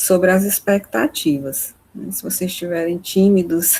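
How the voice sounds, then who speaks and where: At a fairly slow pace, a woman speaks in a medium pitch. Her pitch varies in an ordinary way. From Maranhão, Brazil (Imperatriz). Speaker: course instructor. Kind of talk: online lecture.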